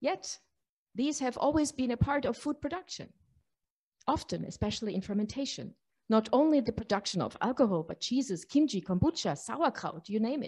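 Over a quiet background, a woman talks at a fairly quick pace and a high pitch. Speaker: panel moderator. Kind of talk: conference introduction. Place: hall. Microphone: podium.

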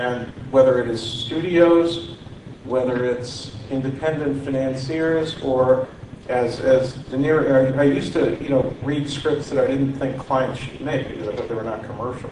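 With fairly even intonation, a man at medium pitch talks at a moderate pace over noticeable background noise. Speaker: media executive. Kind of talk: panel discussion. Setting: stage with audience. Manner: halting.

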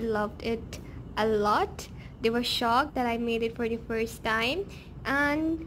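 Music sounds in the background. Over it, a woman talks. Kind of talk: cooking tutorial narration. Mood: cheerful, pleased. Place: kitchen. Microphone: phone near.

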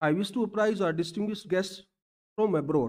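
A man is talking. The background is quiet. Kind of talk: formal speech. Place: hall. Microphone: podium.

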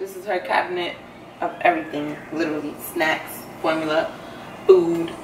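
A woman speaks with noticeable background noise in the recording. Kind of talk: casual vlog chat. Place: kitchen. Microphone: camera far.

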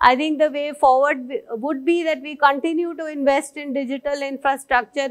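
Over a quiet background, a woman with a high pitch talks at a fairly quick pace with fairly even intonation. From India. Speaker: senior civil servant. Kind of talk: conference keynote speech. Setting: stage with audience. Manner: formal. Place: stage.

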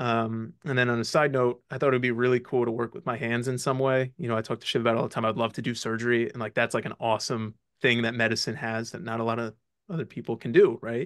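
A man talks at a very fast pace with medium pitch. His intonation is fairly even, and the background is quiet. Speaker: medical student; guest. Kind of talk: casual interview. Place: home room. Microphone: video call.

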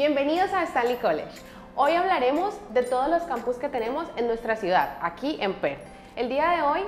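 A woman with a high pitch talks at a moderate pace with lively intonation. Audible room echo and faint music sit in the background. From Colombia; Cali, Colombia. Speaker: student services staff member. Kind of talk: campus tour guide talk to camera. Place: office. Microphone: lapel.

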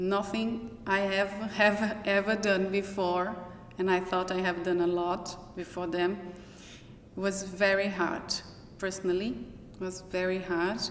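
Speaking with a Brazilian accent, a woman keeps a fairly slow pace and fairly even intonation. Light background noise and audible room echo are present. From Brazil (Minas Gerais). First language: Portuguese. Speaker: professor. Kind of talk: personal testimony; interview answer. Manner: halting. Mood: reflective, personal. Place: hall.

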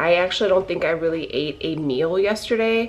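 At a moderate pace, a woman speaks with a fairly low pitch and ordinary pitch variation. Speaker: keto lifestyle vlogger. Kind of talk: casual vlog chat. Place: kitchen. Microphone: phone near.

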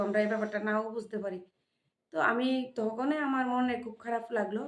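A woman speaks with a fairly high pitch. Audible room echo colors the recording. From Tripura, India. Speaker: vlogger. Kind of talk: casual vlog monologue. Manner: animated.

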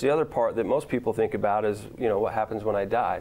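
Talking at a very fast pace, a man with a fairly low pitch speaks with an American accent. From Utah, US. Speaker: attorney. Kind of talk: casual interview chat. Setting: studio. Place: studio. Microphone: lapel.

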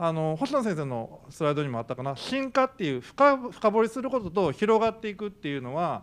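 The man talks at a fairly quick pace in a high pitch. His pitch swings very widely. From Kyoto. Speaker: panel moderator, professor. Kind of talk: panel discussion. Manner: fast. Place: hall. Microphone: handheld.

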